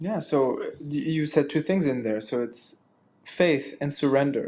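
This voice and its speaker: A man with a French accent speaks fairly slowly, his fairly high pitch carrying a dark, mellow tone and ordinary pitch variation. The recording is very clean, with a silent background. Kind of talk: casual chat. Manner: halting.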